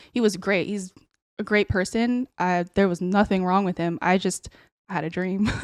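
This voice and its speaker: A normal speaking voice with an American accent moves at a moderate pace in a very clean, dry, close recording with a silent background and no echo. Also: woman, medium pitch for a woman, fairly even intonation. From San Francisco Bay Area, California. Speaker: artist. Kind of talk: casual chat.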